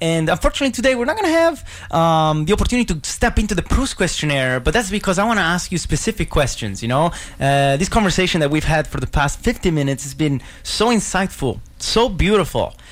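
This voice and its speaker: Over noticeable background noise, a man races along at a very fast pace, his high pitch swinging very widely. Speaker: radio host. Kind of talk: radio interview. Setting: radio studio. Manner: animated.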